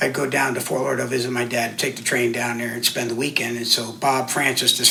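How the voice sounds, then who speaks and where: A man's medium-pitched voice carries audible room echo amid noticeable background noise. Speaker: churchgoer sharing faith story. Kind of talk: conversational interview.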